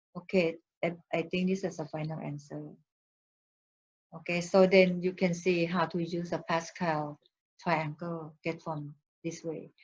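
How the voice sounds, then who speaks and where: Speaking with a fairly low pitch, a somewhat breathy woman uses monotone, flat intonation at a fairly slow pace with long, frequent pauses. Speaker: math teacher. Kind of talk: lecture.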